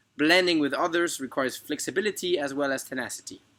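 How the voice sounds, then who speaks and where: A bright, sharp tone with a French accent moves at a fairly quick pace with ordinary pitch variation, on a very clean recording with a silent background. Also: man. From France, then international schools in Turkey and Austria. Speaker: university applicant. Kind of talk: scripted narration. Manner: formal.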